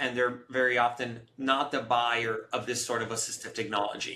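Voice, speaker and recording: Man with an American accent, fairly even intonation, and a moderate pace amid noticeable background noise. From US West Coast, Los Angeles (came from Romania at nine). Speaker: tech startup CEO. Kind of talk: interview.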